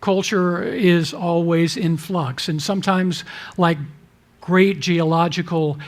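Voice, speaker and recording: In a room with audible echo, a man speaks at a high pitch. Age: 60s. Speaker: denominational leader. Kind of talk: talk to a church audience.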